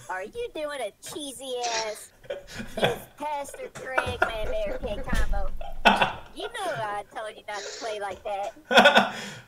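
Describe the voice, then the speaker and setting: A female-sounding voice puts on a character, pitched high and moving at a fairly slow pace. Long pauses come often. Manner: scolding, playful.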